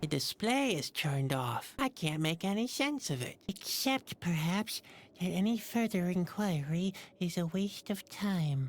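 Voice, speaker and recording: A female-sounding voice at middle pitch performs a put-on character voice. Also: moderate pace. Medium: video game. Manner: dry, sardonic.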